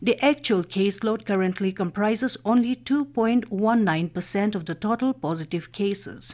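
A woman speaks at a fairly slow pace with an Indian accent and lively intonation against a quiet background. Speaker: radio newsreader. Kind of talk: news reading. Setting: studio. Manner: formal. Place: studio.

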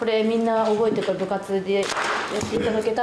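A woman speaks with monotone, flat intonation. Noticeable background noise is present. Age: 20s. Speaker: stage actress. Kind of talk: press conference. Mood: playful, slightly nervous. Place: hall.

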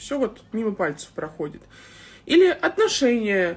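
A somewhat breathy woman's voice. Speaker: blogger. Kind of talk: sponsored promo vlog talk. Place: home room. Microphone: phone near.

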